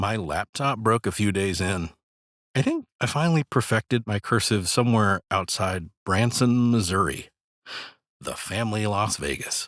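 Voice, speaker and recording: A man speaks in a normal speaking voice, fairly low in pitch with ordinary pitch variation, at a moderate pace, with a dry, close sound with no echo on a very clean recording with a silent background. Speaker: voice actor. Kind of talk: documentary narration. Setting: home studio.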